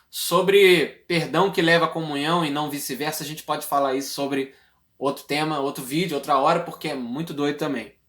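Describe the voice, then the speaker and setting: The recording is very clean, its background silent. The words come at a fairly quick pace. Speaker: preacher. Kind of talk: sermon. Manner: fast.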